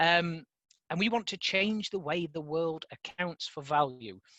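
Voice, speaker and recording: A fairly slow delivery with a northern English accent. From northern England, mining communities. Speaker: conference speaker, impact measurement organization staff. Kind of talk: conference presentation. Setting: online conference call. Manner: hesitant fillers, frequent um.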